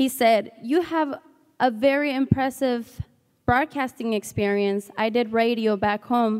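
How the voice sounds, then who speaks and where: Her voice sits high in pitch for a woman, with ordinary pitch variation. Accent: Spanish. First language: Spanish. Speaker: student intern giving testimonial. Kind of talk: commencement testimonial speech. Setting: stage with audience.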